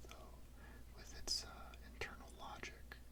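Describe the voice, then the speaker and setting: A man whispers at a moderate pace while noticeable background noise runs underneath. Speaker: ASMR creator. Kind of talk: casual movie review rant. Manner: whispered.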